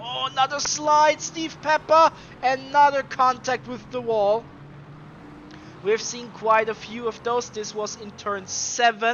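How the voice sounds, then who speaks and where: Speaking at a fairly slow pace, a man with an extremely high pitch and ordinary pitch variation is heard over noticeable background noise. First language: not English. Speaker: sim racing commentator. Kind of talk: live commentary. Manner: animated.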